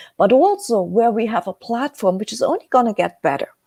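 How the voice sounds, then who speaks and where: Heard dry and close with no echo, a woman with a German accent has a fairly high pitch, a dark, mellow tone and very wide pitch swings. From Germany. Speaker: webcast host selling precious metals. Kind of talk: live webcast talk. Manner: slow; halting, many filler sounds.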